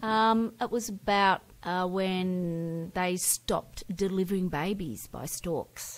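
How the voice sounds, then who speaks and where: In an Australian accent, the speaker goes at a very slow pace with hardly any pauses and fairly even intonation on a very clean recording with a silent background. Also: woman, medium pitch for a woman. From Victoria, Australia. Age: 60s. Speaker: retired school integration aide. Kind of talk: interview.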